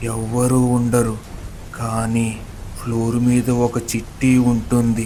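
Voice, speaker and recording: A man's put-on character voice, medium in pitch and very slow, over clear background noise. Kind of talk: horror narration. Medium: audio drama.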